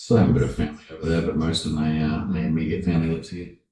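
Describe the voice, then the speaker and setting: A man talks very fast in a very deep, low voice with vocal fry and a dark, mellow tone. The room echo is audible. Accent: American. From New Zealand. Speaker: voice actor. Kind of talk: casual chat.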